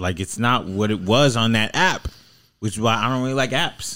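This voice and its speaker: Ordinary pitch variation and a moderate pace from a normal speaking voice, captured in a very clean recording against a silent background. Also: man. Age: 20s. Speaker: podcast host. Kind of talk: casual chat. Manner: laughs often.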